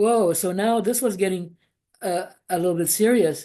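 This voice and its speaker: A woman speaks with a non-native accent in a dark, mellow tone. The background is quiet. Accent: foreign. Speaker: former Jehovah's Witness. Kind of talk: testimony. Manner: halting, many fillers.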